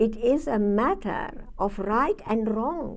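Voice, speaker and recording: A woman's fairly high voice in a Hungarian accent, full of very wide pitch swings, with audible room echo. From northern Hungary. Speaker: Holocaust survivor and psychiatrist speaker. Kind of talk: survivor testimony talk with Q&A. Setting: university lecture room with audience.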